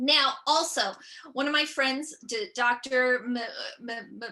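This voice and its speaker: With an American accent, a woman projects a raised voice in a bright, sharp tone. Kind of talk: stand-up style keynote talk. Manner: halting, with repeated syllables.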